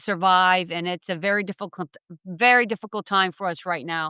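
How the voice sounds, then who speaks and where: A woman with a medium pitch speaks at a moderate pace in a bright, sharp tone. The recording is very clean, with a silent background. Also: dry, close sound with no echo. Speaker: podcast host. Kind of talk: podcast interview questions.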